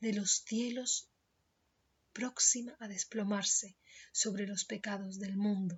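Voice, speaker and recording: A soft-spoken woman talks at a very slow pace. Her somewhat breathy voice is fairly high, with fairly even intonation. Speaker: Spanish teacher. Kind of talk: literary story reading.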